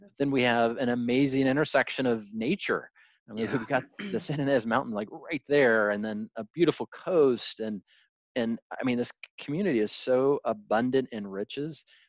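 At a moderate pace, a man with a medium pitch and ordinary pitch variation speaks with big swings in loudness, in a dry, close, echo-free recording with a quiet background. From Arizona (Tucson), born in Florida. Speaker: city economic development manager. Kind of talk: casual interview. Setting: video call. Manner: halting, many fillers and repetitions.

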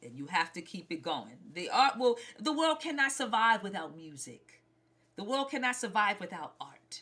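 A woman speaks at a moderate pace in a New York accent, her fairly high pitch swinging very widely, her tone bright and sharp with vocal fry. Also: big swings in loudness. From Brooklyn, New York. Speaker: singer and actor. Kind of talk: interview.

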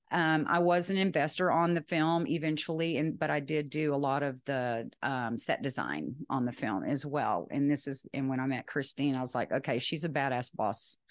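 A woman's very deep, low voice in a Texan accent, with ordinary pitch variation, a moderate pace, hardly any pauses and a quiet background. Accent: Texan American. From West Texas. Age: 50s. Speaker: retired film producer. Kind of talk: casual interview chat. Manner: talkative.

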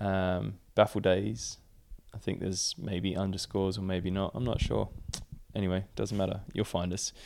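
A man with an Australian accent speaks in a fairly low pitch, his intonation fairly even. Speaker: professional climber and Olympic athlete. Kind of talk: casual interview.

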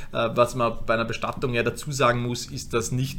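This man's tone is bright and sharp. He keeps a moderate pace and fairly even intonation. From Austria, Vorarlberg. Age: 30s. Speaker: funeral company co-founder. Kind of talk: interview. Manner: halting, many fillers.

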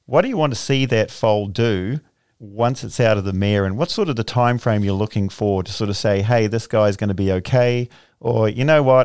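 In a very clean recording with a silent background, a man talks in an unremarkable speaking voice, fairly low in pitch, with ordinary pitch variation and a fairly quick pace. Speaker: podcast host. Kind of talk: casual interview. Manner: joking, bantering.

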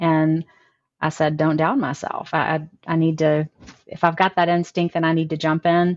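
A woman in a Southern US accent, fairly low-pitched and monotone with flat intonation, at a moderate pace and very even loudness, in a dry, close sound with no echo. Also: quiet background. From US South, North Mississippi. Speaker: business coach. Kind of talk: interview.

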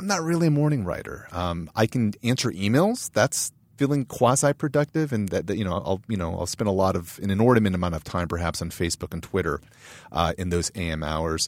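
A fairly low-pitched man with an American accent, fairly quick, with very wide pitch swings, in a very clean, silent-background recording that is dry and close with no echo. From US West Coast, Southern California. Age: 40s. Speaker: pop culture panelist, music writer and professor. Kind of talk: casual chat. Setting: studio.

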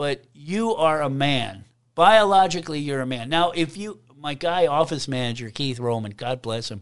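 Over a quiet background, a man with a plain, everyday voice speaks at a moderate pace, fairly high in pitch, with lively intonation. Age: 50s. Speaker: state politician. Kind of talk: casual interview.

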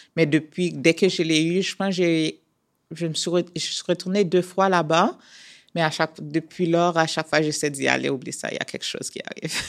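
A woman's fairly low voice, monotone and flat, at a moderate pace on a very clean recording with a silent background. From Haiti. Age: 30s. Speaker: professional athlete. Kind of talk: interview.

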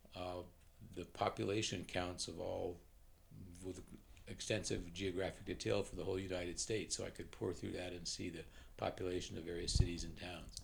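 A man with an American accent speaks at a fairly quick pace in a very deep, low pitch. His intonation is fairly even, with vocal fry. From US West Coast (Oakland, California). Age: 80s+. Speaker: retired statistician. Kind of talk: casual interview. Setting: at home.

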